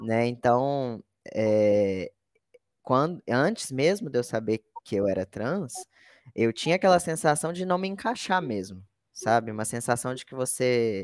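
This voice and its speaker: A man talks fairly slowly at a medium pitch with very wide pitch swings. The recording is very clean, with a silent background and a dry, close sound with no echo. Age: 20s. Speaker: content analyst, former teacher. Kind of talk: interview.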